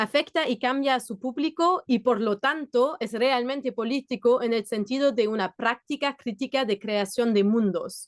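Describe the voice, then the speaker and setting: With a non-native accent and high pitch, a woman speaks at a moderate pace with hardly any pauses and ordinary pitch variation, in a dry, close sound with no echo. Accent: foreign accent in Spanish. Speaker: theatre worker. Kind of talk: conference presentation. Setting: video call.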